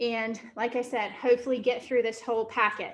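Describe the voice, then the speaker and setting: High-pitched female voice in a room with audible echo. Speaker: real estate team CEO and workshop trainer. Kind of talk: workshop lecture. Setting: training room with Zoom participants.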